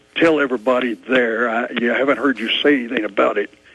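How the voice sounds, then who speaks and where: Against noticeable background noise, a man speaks at a fairly quick pace and medium pitch with fairly even intonation. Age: 70s. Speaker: retired Air Force pilot, caller. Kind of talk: call-in talk radio.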